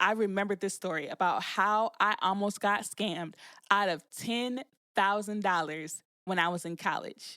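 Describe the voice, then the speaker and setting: A woman speaks at a medium pitch and a fairly slow pace, with an animated tone. The recording is very clean, with a silent background. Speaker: podcast host. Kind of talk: casual podcast monologue.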